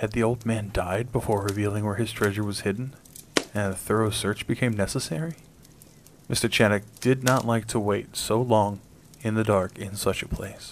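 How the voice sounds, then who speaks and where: At a moderate pace, a man with fairly low pitch talks in a normal speaking voice with fairly even intonation. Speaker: audiobook narrator. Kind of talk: horror story narration, read aloud. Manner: formal, measured pacing with suspense.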